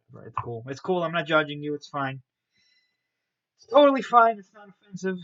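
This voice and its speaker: A man talks with lively intonation. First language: not English. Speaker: miniature painting streamer. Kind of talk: live stream painting tutorial with chat. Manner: casual, animated.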